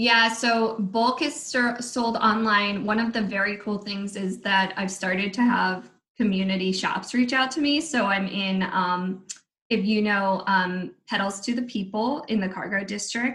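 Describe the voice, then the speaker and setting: Using a normal speaking voice, a woman with an American accent talks at a medium pitch and a fairly slow pace, with ordinary pitch variation. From DC, Maryland, Virginia area. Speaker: candle maker with a side business. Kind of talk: casual interview chat. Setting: video call.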